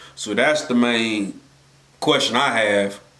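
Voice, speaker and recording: A man with fairly even intonation talks amid audible room echo. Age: 20s. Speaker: anime reaction youtuber. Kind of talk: casual reaction commentary. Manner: casual, halting with repetitions.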